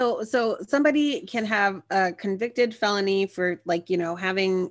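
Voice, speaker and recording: On a very clean recording with a silent background, a woman speaks. She has an unremarkable speaking voice with ordinary pitch variation. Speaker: podcast co-host. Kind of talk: casual chat.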